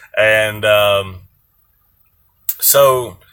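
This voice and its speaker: With music playing in the background, a man speaks in a relaxed tone at medium pitch, with a Southern US accent and ordinary pitch variation. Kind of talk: casual talk to camera. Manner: relaxed, hesitant.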